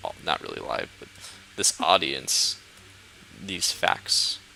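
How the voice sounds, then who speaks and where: Noticeable background noise sits behind a man who mumbles at a fairly slow pace in a relaxed tone. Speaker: gaming youtuber. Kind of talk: casual chat. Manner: mumbling.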